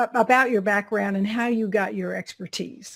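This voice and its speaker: This woman talks fairly slowly. She has a Southern US accent. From US South. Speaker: interview show host. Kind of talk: interview; scripted introduction.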